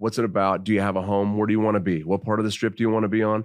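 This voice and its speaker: Here a man talks at a fairly low pitch. The sound is dry and close with no echo against a quiet background. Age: 50s. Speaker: rock singer-songwriter. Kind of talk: casual chat. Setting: studio.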